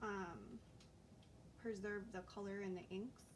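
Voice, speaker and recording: A soft-spoken voice talks at a fairly slow pace in a monotone, flat intonation, with audible room echo and noticeable background noise. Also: woman. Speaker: crafter. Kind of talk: live-stream tutorial. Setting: live stream. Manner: casual.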